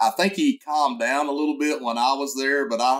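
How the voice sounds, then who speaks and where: Against a quiet background, the voice holds a moderate pace and ordinary pitch variation. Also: man. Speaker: guest. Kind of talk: interview answer. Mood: warm, reminiscing, smiling. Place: office. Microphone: webcam.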